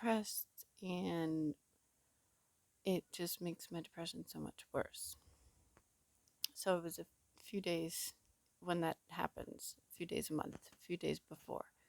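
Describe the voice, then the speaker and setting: Quiet and dry, with a close sound and no echo, the voice moves at a fairly slow pace with long, frequent pauses and big swings in loudness. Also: woman. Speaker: vlogger. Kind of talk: personal vlog. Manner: quiet, low voice; halting, many fillers.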